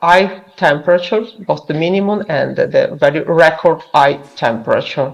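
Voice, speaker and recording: The voice has ordinary pitch variation. It comes with an Italian accent. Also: woman, moderate pace. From Italy. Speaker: virologist researcher. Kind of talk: conference presentation. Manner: halting, many fillers.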